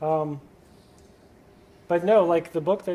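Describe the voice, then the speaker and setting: Noticeable background noise behind speech of moderate pace. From Louisiana. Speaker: ham radio club presenter. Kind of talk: talk with audience Q&A.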